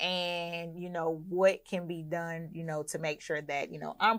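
This woman has an American accent and a normal speaking voice. The recording is very clean, with a silent background. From US South, Clayton County, Georgia. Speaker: hotel owner and investment platform CEO. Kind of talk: casual interview.

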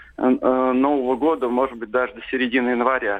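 A man's fairly high voice proceeds at a moderate pace. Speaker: caller. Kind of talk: phone-in call. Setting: phone call. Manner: halting.

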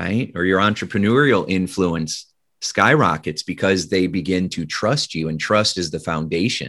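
With a Midwestern American accent, a man talks at a moderate pace in a very deep, low voice with lively intonation and hardly any pauses. The recording is very clean and the background silent. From US Midwest, Indiana. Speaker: hypnotist and leadership speaker. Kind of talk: interview.

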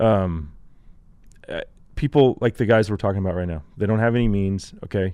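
With an American accent and a dark, mellow tone, the speaker moves at a fairly quick pace with ordinary pitch variation and long, frequent pauses. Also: man, fairly low pitch for a man. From Texas. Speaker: outdoor show host. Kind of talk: casual chat. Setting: studio.

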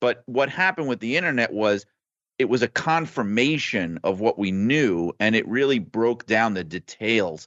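In an American accent, a man uses a plain, everyday voice at a medium pitch, talking at a moderate pace with lively intonation. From New York, Brooklyn. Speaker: wrestling journalist. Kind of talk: casual chat.

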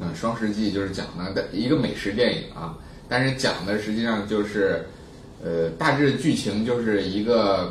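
At a moderate pace, a man talks at a fairly low pitch in a room with audible echo. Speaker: science writer and plant expert. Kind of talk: casual chat. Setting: office recording with handheld recorder. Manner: animated.

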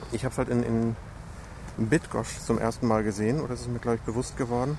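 A man at medium pitch, talking at a very fast pace. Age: 40s. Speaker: podcast host. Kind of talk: casual interview chat. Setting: outdoors walking in park in rain.

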